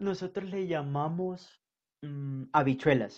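The man's voice is fairly high and shows ordinary pitch variation. He talks at a very slow pace against a quiet background. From northern Colombia, Caribbean coast. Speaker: podcast guest. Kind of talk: casual interview chat. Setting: video call.

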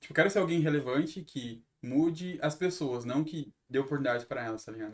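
Very fast speech from a man, its pitch variation ordinary. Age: 20s. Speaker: singer, songwriter and podcaster. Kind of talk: casual chat.

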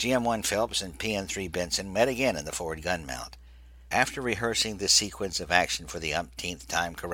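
The voice reads in a natural reading voice with ordinary pitch variation.

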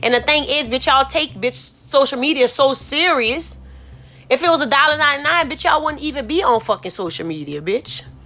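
A woman in a New Orleans accent, high-pitched, raised and projected, animated and bright with a sharp edge, lively intonation and a fairly quick pace. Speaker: podcast host. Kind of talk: casual monologue.

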